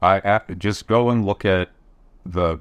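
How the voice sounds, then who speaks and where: Over a quiet background, a man with an American accent uses an unremarkable speaking voice, fairly low in pitch with ordinary pitch variation. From Michigan. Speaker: podcast co-host. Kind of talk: panel discussion.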